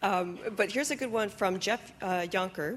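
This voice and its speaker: A normal speaking voice at a moderate pace, with lively intonation. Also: woman. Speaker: question moderator. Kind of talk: audience Q&A. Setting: stage with audience.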